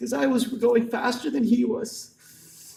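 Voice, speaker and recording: A man with an extremely high pitch speaks at a very slow pace. His pitch swings very widely, and the room echo is audible. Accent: American. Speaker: son giving a eulogy. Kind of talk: eulogy. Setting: funeral ceremony. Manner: halting.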